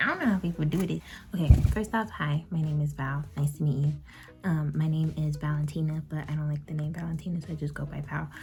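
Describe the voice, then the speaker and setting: A woman speaks quietly at a very deep, low pitch and a fairly quick pace. Noticeable background noise sits behind her. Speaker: beauty vlogger. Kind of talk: casual chat.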